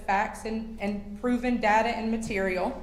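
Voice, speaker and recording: With a Southern US accent, a woman talks at a moderate pace in a fairly high, monotone, flat voice, with audible room echo and noticeable background noise. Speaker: public commenter at county council meeting. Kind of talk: public comment. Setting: county council meeting.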